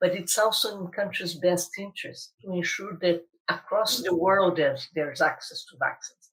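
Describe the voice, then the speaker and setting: At a middling pace, a woman talks. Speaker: global health official. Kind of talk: interview. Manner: halting, many repetitions.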